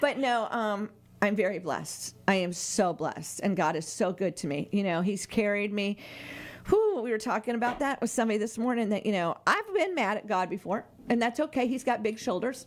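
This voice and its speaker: A woman with an American accent talks at a fairly high pitch and a fairly quick pace. Her tone is animated and her intonation lively, with noticeable background noise behind her. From Florida. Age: 60s. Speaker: radio host. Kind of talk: casual chat.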